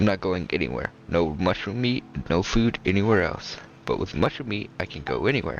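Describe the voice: A passage is read aloud. The reading is plain.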